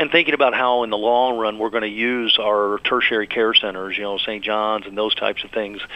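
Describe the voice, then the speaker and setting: A man's fairly low-pitched, monotone, flat delivery amid noticeable background noise. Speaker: hospital chief medical officer, doctor. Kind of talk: radio interview. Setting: radio show.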